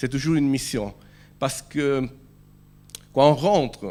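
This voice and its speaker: A man speaks with an Italian accent. His pitch sits in the medium range. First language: Italian (speaking French). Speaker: preacher. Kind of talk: sermon. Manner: halting.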